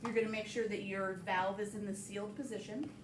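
A woman speaks with noticeable background noise. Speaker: cooking instructor. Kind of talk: tutorial. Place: kitchen. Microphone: camera far.

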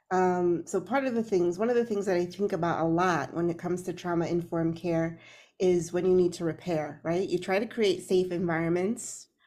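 A woman speaks at a fairly quick pace with hardly any pauses, using a dark, mellow tone, fairly low pitch and fairly even intonation, on a very clean recording with a silent background. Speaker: podcast co-host. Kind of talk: casual chat.

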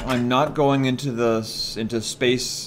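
Light background noise sits behind a man speaking at a medium pitch. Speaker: gaming video creator. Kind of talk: casual gameplay commentary. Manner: chatty, excitable.

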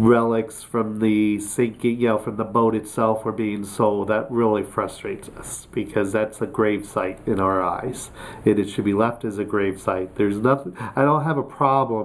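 At a moderate pace, a man speaks with fairly even intonation and a fairly low pitch. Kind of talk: interview answer. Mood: friendly, earnest. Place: office.

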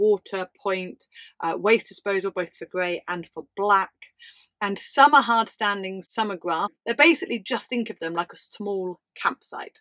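A woman's bright, sharp voice at a fairly slow pace, with ordinary pitch variation, big swings in loudness and a quiet background. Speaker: travel channel host. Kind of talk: tutorial. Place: home room.

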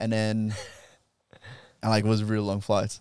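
A man speaks very fast with a Brazilian accent. The sound is dry with no echo, over a quiet background. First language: Portuguese. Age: 20s. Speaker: jiu-jitsu practitioner and instructor; instructor. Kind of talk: casual interview. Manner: laughs often. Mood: reflective, personal storytelling. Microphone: handheld.

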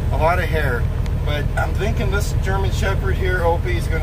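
The speech moves at a moderate pace. Loud background noise runs underneath. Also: man. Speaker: truck driver vlogger. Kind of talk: casual vlog chat. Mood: cheerful, amused. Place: car. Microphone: phone near.

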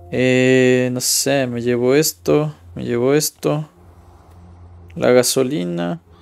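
A man at a very slow pace, with long, frequent pauses and lively intonation. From Ecuador. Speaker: gaming streamer. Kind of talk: gameplay commentary. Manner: casual, thinking aloud. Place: home room. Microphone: headset.

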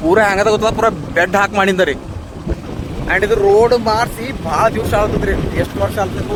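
Over noticeable background noise, a man with a high-pitched voice speaks with fairly even intonation. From Bidar district, north Karnataka. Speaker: vlogger, petrol pump worker. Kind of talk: travel vlog narration. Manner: casual, chatty.

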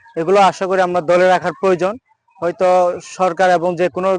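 In a dry, close sound with no echo, a man with a high pitch speaks in monotone, flat intonation. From Khagrachhari, Bangladesh. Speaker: local resident. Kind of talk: interview. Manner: halting.

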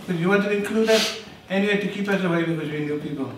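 A man talks with ordinary pitch variation. There is light background noise and some audible room echo. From South Africa, Cape Town. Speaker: host's father; interviewee, host's parent. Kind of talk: casual family interview. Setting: family home. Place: home room.

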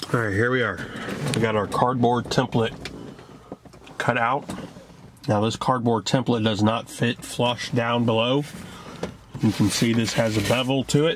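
Against faint background noise, a man at medium pitch speaks at a fairly slow pace with fairly even intonation and long, frequent pauses.

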